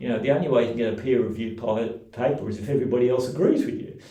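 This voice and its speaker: A man's medium-pitched voice, with normal pitch movement, carries audible echo from the room. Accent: Australian. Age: 60s. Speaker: community radio founder. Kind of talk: interview. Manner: halting, frequent fillers.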